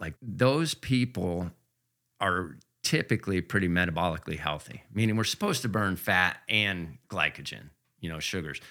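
A man speaks with a very deep, low pitch and lively intonation. His tone is bright and sharp. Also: very clean recording, silent background. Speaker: real estate agent and ultra runner. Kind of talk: casual interview conversation.

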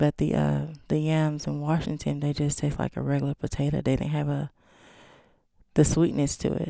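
A moderate pace with long, frequent pauses, in an East Texas accent. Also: woman. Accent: East Texas Southern. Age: 40s. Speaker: chef. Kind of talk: casual chat.

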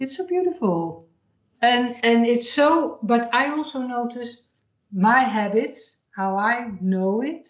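With a Dutch accent, a high-pitched woman speaks at a very slow pace with lively intonation. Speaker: podcast host and therapist. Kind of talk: interview conversation.

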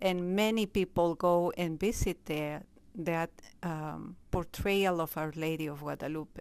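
With a Spanish accent, the speaker goes at a very slow pace with ordinary pitch variation in a very clean recording with a silent background. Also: woman. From Peru. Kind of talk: interview. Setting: convent office.

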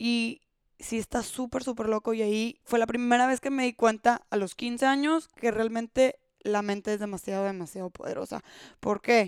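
A woman with a normal speaking voice and fairly high pitch talks at a moderate pace with fairly even intonation, captured in a very clean, dry, close recording with a silent background and no echo. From Monterrey, Mexico. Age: 20s. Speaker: podcast host. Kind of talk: solo podcast monologue.

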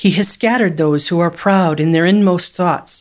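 This woman has a normal speaking voice at a medium pitch, with ordinary pitch variation and a moderate pace. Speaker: Bible study leader reading scripture. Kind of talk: scripture reading, then a short meditation and prayer. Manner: measured, reverent reading.

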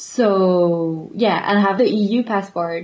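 A woman speaks in a French accent at a medium pitch. Her pitch varies in an ordinary way. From France, Paris area. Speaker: guest. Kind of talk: casual chat.

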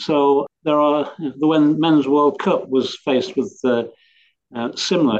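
A man speaks in an English accent with fairly even intonation. His pace is fairly slow. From England. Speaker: cricket columnist. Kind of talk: panel discussion. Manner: halting.

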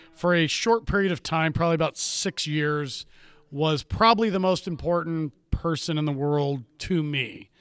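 His pitch is fairly high, and its variation is ordinary. The man keeps to a moderate pace. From US West Coast, Ventura, California. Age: 40s. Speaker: podcast co-host. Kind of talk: casual chat.

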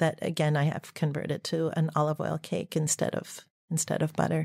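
A woman with an American accent speaks at a moderate pace and fairly low pitch, the sound dry and close with no echo on a very clean recording with a silent background. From US Midwest, Dayton, Ohio. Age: 50s. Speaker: olive oil producer. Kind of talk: interview.

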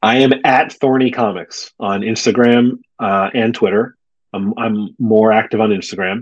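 This is a man with an unremarkable speaking voice. He sounds fairly low-pitched, with fairly even intonation. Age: 40s. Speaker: comic book writer. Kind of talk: casual interview.

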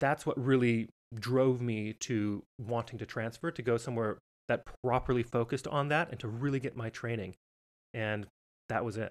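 At a moderate pace, a man talks in an unremarkable speaking voice with medium pitch and fairly even intonation. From Montana, US. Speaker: professional entertainer and podcast host. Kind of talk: interview, casual chat.

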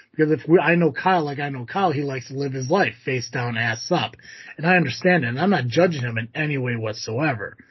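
A man talks at a fairly quick pace in a somewhat breathy voice with lively intonation. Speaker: podcast host. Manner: casual, profane, joking.

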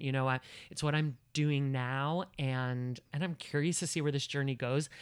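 A man with an American accent speaks in a normal speaking voice, fairly high in pitch, at a moderate pace with fairly even intonation, on a very clean recording with a silent background. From New Jersey. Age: 30s. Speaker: actor and comedian. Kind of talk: casual chat. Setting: at home.

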